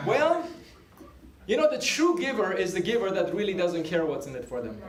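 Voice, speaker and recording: Noticeably backed by noise and audible room echo, a man talks in an animated tone at a fairly quick pace, his voice high for a man. His pitch swings very widely, and his loudness rises and falls in big swings. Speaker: business team leader. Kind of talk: motivational sales meeting talk. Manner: fast.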